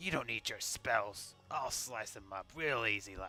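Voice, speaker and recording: A man does a raspy, put-on character voice at a fairly slow pace. Background noise is clearly audible. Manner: menacing, casual about violence.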